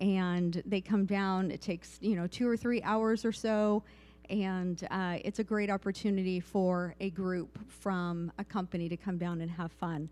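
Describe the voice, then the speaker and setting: A woman speaks at a medium pitch and a fairly slow pace. Her intonation stays fairly even on a very clean recording with a silent background. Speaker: volunteer coordinator for a pride organization. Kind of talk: town hall presentation. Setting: community meeting in a church, live-streamed. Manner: soft-spoken.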